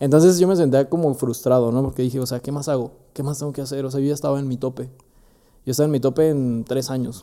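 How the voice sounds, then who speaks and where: A man with a Mexican accent, medium pitch and a dark, mellow tone, very fast pace and fairly even intonation. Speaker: entrepreneur. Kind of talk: casual chat.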